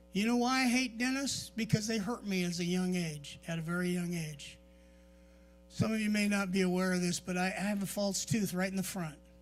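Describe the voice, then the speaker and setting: A man's voice with ordinary pitch variation, music in the background. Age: 60s. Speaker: pastor. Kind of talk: sermon. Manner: conversational, repetitive.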